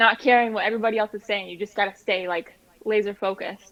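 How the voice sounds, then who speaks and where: A woman with a fairly high pitch uses an ordinary speaking voice with fairly even intonation. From New Hampshire, USA. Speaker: singer-songwriter. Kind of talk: interview answer.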